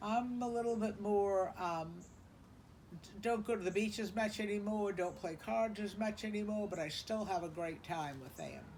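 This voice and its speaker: A woman's somewhat breathy, medium-pitched voice with an American accent, moderate in pace, with ordinary pitch variation and audible room echo. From South Carolina, Charleston. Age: 70s. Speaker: interviewee recounting family history. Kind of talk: oral history interview. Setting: beach house porch.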